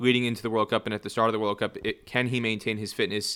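A man's bright, sharp tone stays monotone and flat on a very clean recording with a silent background. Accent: American. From US Northeast, New Jersey. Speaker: cricket journalist. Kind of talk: casual interview. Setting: scorer's box at a cricket ground.

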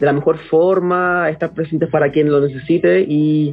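This is a man talking. The rise and fall of his voice is fairly even. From Chile, Santiago. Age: 30s. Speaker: mushroom product entrepreneur. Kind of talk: casual interview chat.

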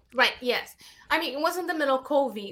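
A woman speaks with a Brazilian accent. Her tone is bright and sharp. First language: Portuguese. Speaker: filmmaker and actress. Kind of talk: casual interview. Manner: animated, laughs often.

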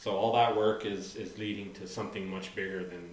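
A man's flat, monotone voice amid audible room echo and noticeable background noise. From Santa Fe, New Mexico. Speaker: photographer and radio DJ. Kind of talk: casual chat.

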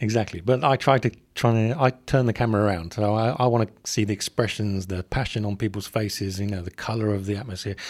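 On a very clean recording with a silent background, a man with an English accent talks very fast with hardly any pauses, at a fairly low pitch and with fairly even intonation. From England. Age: 40s. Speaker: corporate communications professional. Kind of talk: casual interview chat. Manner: hesitant, many repetitions.

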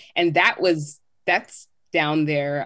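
With an American accent, a woman talks in a very deep, low pitch and fairly even intonation. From Southern California (Riverside), Jamaican family. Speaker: podcast guest, home cook. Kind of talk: casual chat.

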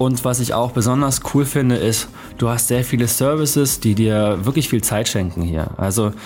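An unremarkable speaking voice from a man, moderate in pace, with ordinary pitch variation. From Germany. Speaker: podcast host. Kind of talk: solo podcast monologue. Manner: casual, conversational.

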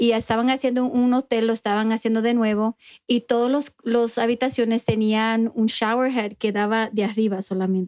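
At a fairly high pitch and moderate pace, a woman speaks with monotone, flat intonation, very even loudness and hardly any pauses, in a dry, close sound with no echo against a quiet background. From New York, immigrant to US. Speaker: dental hygienist and dental recruiter. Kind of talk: casual interview chat.

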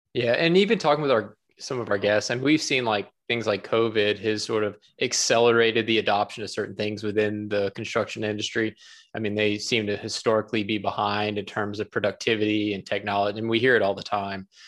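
At a fairly quick pace, an unremarkable speaking voice carries fairly even intonation. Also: man, fairly low pitch for a man. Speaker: podcast host. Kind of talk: casual interview chat.

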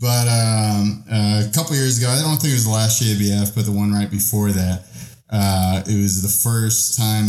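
Using a normal speaking voice, a man talks at a fairly quick pace in a fairly low pitch with fairly even intonation. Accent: American. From Texas. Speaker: podcast co-host. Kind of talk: casual chat.

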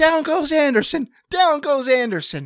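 A put-on character voice shouts at a high pitch. The pace is moderate. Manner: shouting, excited.

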